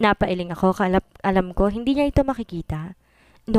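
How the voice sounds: The reading voice sounds natural. Intonation moves in a lively way.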